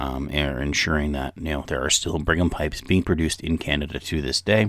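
A man's voice with vocal fry comes through a very clean recording with a silent background. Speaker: pipe smoking podcast host. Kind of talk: casual solo podcast talk. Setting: home recording close to mic.

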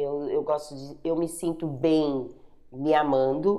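A woman's very deep, low voice at a very slow pace, with fairly even intonation. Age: 50s. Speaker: pastor and online bazaar seller. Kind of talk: interview testimony.

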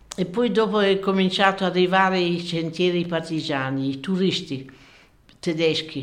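The voice belongs to a woman. The room gives it an audible echo. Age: 90s. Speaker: former partisan, witness. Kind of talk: interview. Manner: halting.

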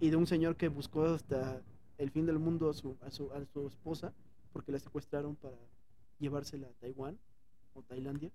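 A man with a fairly high pitch and a dark, mellow, somewhat breathy tone speaks at a moderate pace with fairly even intonation, big swings in loudness and long, frequent pauses. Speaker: podcast co-host. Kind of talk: casual chat. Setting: airport.

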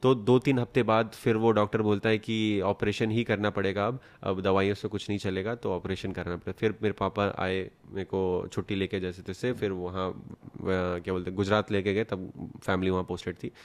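In a plain, everyday voice, a man speaks at a moderate pace with a fairly low pitch and fairly even intonation against a quiet background. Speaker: photographer and vlogger. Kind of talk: casual interview. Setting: at home. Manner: soft-spoken.

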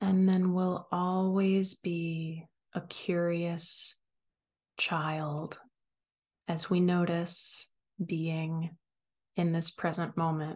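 Speaking very slowly with long, frequent pauses, a woman keeps her fairly low voice in a flat monotone. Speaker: podcast host and wellness coach. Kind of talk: guided meditation. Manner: soft, slow, soothing; calm, gentle, paced with long pauses.

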